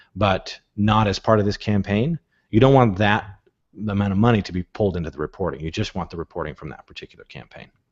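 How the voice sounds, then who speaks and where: This man has a fairly low pitch and lively intonation. He speaks at a very fast pace. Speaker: software tutorial host. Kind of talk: tutorial.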